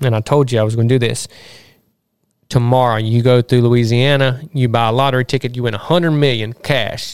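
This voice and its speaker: This man talks at a very fast pace with a Mississippi accent. His pitch is medium and his intonation fairly even. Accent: Southern US (Mississippi). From US South, Southwest Mississippi. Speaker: podcast host and hunting land real estate agent. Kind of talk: casual interview chat. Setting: outdoors in the sun.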